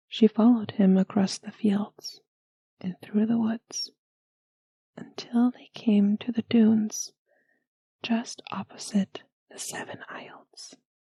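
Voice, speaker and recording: A soft-spoken woman with a fairly high pitch and a dark, mellow, gentle tone talks at a very slow pace with long, frequent pauses. Her voice is somewhat breathy and her intonation monotone and flat. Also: big swings in loudness, dry, close sound with no echo. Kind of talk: bedtime story reading. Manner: soft-spoken, gentle.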